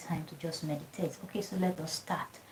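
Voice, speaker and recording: Soft-spoken and monotone with flat intonation, a woman talks over noticeable background noise. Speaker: fitness and lifestyle vlogger. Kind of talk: guided meditation livestream talk. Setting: home livestream. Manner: soft-spoken, talking low; casual, repetitive.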